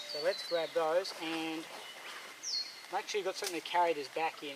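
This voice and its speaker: With noticeable noise behind him, a man with an Australian accent speaks fairly quickly in a fairly high voice with fairly even intonation. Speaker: bushcraft vlogger. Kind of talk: outdoor tutorial. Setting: outdoors in a forest. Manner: hesitant, repeats words; soft-spoken.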